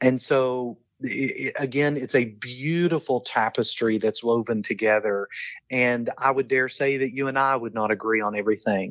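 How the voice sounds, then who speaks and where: At a moderate pace, a man with a strong Southern US accent speaks at a medium pitch with fairly even intonation. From US South, eastern Kentucky. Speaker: theology professor and seminary administrator. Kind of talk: interview conversation.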